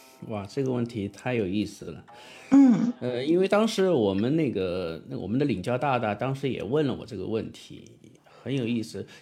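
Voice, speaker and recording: Music plays in the background as a man speaks at medium pitch. He keeps a moderate pace with lively intonation. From southern China. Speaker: podcast host and audiobook narrator, former rock singer. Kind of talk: casual interview. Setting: platform livestream room.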